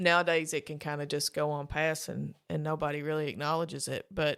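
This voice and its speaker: A woman with an Appalachian accent talks at a fairly quick pace in a very deep, low voice, captured in a very clean recording with a silent background. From Eastern Kentucky. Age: 40s. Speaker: author in long-term addiction recovery. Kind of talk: interview.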